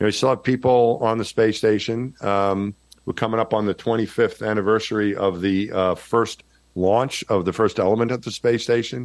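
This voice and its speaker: A man's fairly low voice at a moderate pace, with a slight New York accent. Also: fairly even intonation. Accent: slight Jersey-like New York. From New York, Long Island. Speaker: former astronaut. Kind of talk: casual interview. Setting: remote call, audio only.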